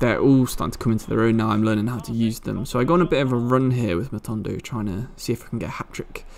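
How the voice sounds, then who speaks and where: A man rattles along at a very fast pace with hardly any pauses, his medium-pitched voice showing ordinary pitch variation. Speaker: gaming commentator. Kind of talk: casual gameplay commentary.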